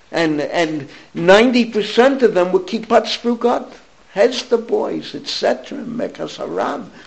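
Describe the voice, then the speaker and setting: A man's high-pitched voice with an American accent at a very slow pace, over noticeable background noise. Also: lively intonation. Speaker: rabbi. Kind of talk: lecture.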